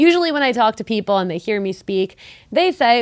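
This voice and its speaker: The speaker is a woman. Her voice sounds dry and close, with no echo. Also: very clean recording, silent background. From Mexico. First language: Spanish. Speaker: podcast co-host. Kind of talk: casual chat.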